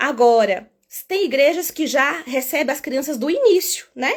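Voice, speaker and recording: On a very clean recording with a silent background, a woman with a high pitch speaks in an animated tone and lively intonation. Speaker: children's ministry teacher. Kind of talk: live stream teaching. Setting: live stream.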